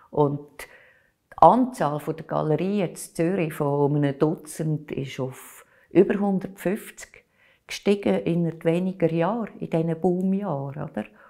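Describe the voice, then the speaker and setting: Over a quiet background, a woman talks at a fairly slow pace with a fairly low pitch, ordinary pitch variation and a dark, mellow tone. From Switzerland, Aargau (Baden); Aargau, Switzerland. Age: 60s. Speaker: culture journalist and art critic; culture journalist. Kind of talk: oral history interview. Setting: recorded interview. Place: home room. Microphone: lapel.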